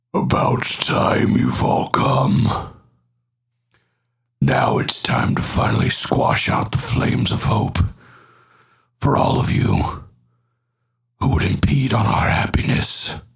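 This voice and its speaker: A man puts on a guttural character voice at a medium pitch. He delivers it at a fairly slow pace. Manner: menacing.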